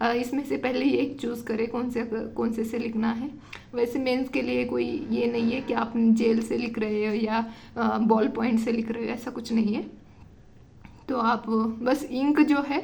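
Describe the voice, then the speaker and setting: Against noticeable background noise and audible room echo, a woman with a fairly high pitch speaks at a fairly slow pace with fairly even intonation. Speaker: UPSC exam tutor. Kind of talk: tutorial. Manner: hesitant with fillers.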